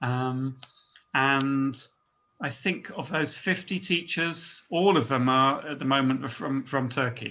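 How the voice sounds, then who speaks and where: The voice moves at a very slow pace with a bright, sharp tone and ordinary pitch variation. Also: man, fairly high pitch for a man. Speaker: teacher trainer. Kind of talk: online seminar presentation. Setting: video call. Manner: hesitant, many ums.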